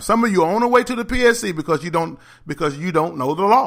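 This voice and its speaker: A man talks at a fairly quick pace in a raised, projected, high voice with a bright, sharp, animated tone and lively intonation. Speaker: teachers union advocate. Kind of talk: educational talk on school law. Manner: fast.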